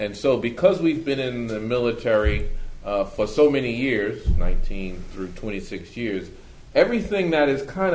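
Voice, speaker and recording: Audible room echo surrounds a man with an American accent and lively intonation. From Brooklyn, New York. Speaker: army officer. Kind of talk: panel discussion.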